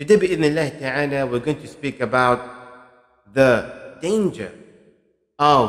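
Fairly slow pace from a man, quiet background behind him. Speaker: religious teacher. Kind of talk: lecture. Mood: calm, earnest. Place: studio. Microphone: studio mic.

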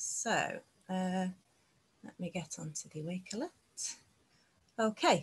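The speaker goes at a very slow pace, leaving long, frequent pauses. The voice is somewhat breathy. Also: woman, medium pitch for a woman, ordinary pitch variation. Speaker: ESOL teacher. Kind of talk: presentation at an online teacher meetup. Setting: video call. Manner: enthusiastic. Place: home room. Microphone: video call.

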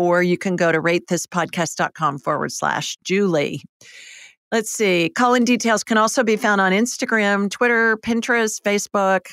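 A woman of medium pitch speaks at a moderate pace with ordinary pitch variation. The sound is dry with no echo, and the background is quiet. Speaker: psychic and medical intuitive radio host; podcast host. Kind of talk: call-in show. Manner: animated. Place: studio. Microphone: studio mic.

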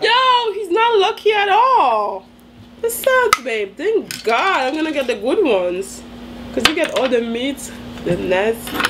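Noticeable background noise is present throughout. Over it, a woman talks at a fairly slow speed. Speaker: vlogger in a couple challenge. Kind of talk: casual vlog chat. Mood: playful teasing. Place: home room. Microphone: camera far.

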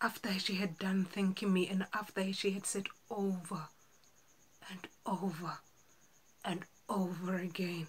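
At a fairly slow pace, a woman speaks in a somewhat breathy voice at medium pitch, monotone and flat, with long, frequent pauses. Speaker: actor. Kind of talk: dramatic monologue audition. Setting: home self-recording. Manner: slow, emotional. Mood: earnest, emotional storytelling. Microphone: phone near.

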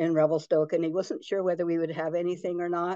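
A woman at a very fast pace in a flat monotone, against a quiet background. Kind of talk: presentation talk with anecdotes. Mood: warm, storytelling. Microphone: video call.

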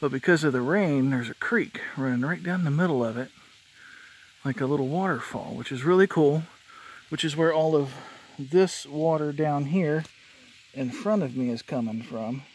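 The delivery moves at a moderate pace with ordinary pitch variation and long, frequent pauses, in a dry sound with no echo. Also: man. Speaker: hiker vlogger. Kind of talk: casual vlog chat. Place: forest. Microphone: phone near.

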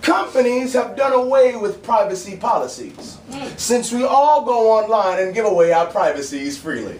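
A man with an American accent, high-pitched, with lively intonation at a moderate pace, plus audible room echo and light background noise. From Bronx, New York. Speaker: spoken word poet and actor. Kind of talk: spoken word poetry performance at an open mic. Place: bar. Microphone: camera far.

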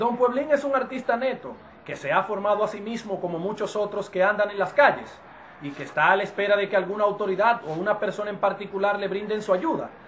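Noticeable background noise runs under a man's high-pitched voice. He talks at a very fast pace with ordinary pitch variation. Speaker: TV news reporter. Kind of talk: TV news report narration.

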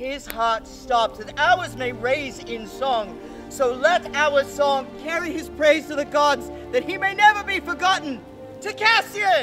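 Fairly slow speech with clear music in the background. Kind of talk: solemn eulogy.

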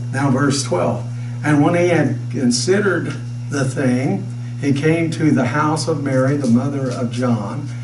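A man's fairly slow speech with fairly even intonation, amid noticeable background noise. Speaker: pastor. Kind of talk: sermon. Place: church.

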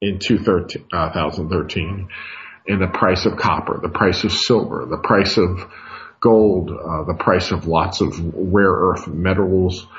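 Very deep, low pitch from a somewhat breathy man, at a very slow pace with fairly even intonation. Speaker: radio show host, market analyst. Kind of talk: radio commentary.

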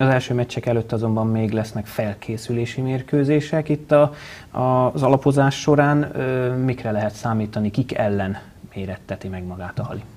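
Here a man speaks at medium pitch. He keeps a moderate pace with ordinary pitch variation. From Hungary. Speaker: sports TV show host. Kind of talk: studio interview and news narration. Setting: TV studio. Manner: formal. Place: studio. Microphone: lapel.

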